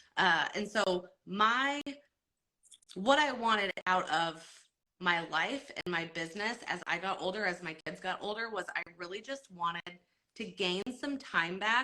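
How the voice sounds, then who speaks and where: In an American accent, a woman talks at a fairly slow pace with lively intonation and a bright, sharp tone. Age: 40s. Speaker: network marketer. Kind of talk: live stream talk. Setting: Instagram live.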